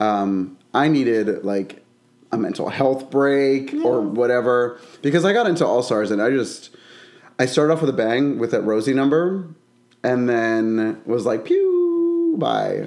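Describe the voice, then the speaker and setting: This man has a plain, everyday voice at a medium pitch. He speaks at a fairly slow pace with ordinary pitch variation. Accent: American. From Bensalem, Pennsylvania (Philadelphia area). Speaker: drag queen and wig stylist. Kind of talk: casual chat. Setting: guest's apartment kitchen.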